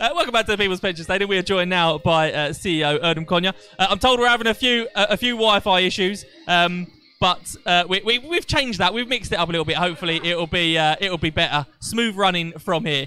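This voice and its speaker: A man speaks very fast in a raised, projected voice, with very even loudness, ordinary pitch variation and a dry sound with no echo. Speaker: matchday show host. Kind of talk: live interview hosting. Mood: jokey, light-hearted. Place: stadium. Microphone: handheld.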